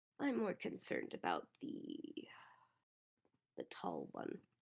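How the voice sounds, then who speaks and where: A put-on character voice, whispered and raspy, at a fairly slow pace. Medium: actual play. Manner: formal, measured, dry.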